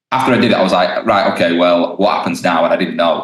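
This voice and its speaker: A man with a British accent speaks in a very deep, low pitch with fairly even intonation. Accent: regional British. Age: 20s. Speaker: stand-up comedian. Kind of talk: casual interview chat. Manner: hesitant, many ums and restarts.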